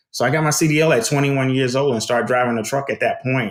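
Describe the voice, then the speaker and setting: Talking at a very fast pace, the speaker has a Southern US accent. The recording is very clean, with a silent background. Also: man. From US South, South Carolina. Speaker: trucking consultant. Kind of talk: podcast interview.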